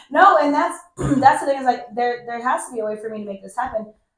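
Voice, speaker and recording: Ordinary pitch variation from a woman. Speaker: podcast host. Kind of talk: casual interview chat. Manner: fast.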